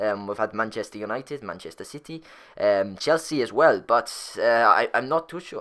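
This man's voice has a bright, sharp tone and a moderate pace. The recording is very clean, and the background is silent. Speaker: gaming YouTuber ranting about football. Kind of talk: angry rant. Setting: solo YouTube video, recorded voiceover. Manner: indignant, sarcastic, incredulous; emphatic, repeating the big numbers.

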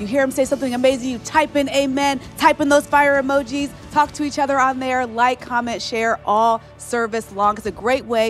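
Faint music plays in the background. The speaker moves at a fairly quick pace with fairly even intonation. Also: woman, high pitch for a woman. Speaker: livestream co-host. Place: studio. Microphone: handheld.

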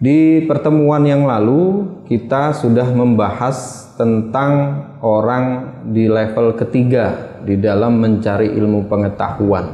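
Very slowly and with ordinary pitch variation, a man speaks amid audible room echo. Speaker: religious teacher. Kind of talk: religious lecture. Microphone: lapel.

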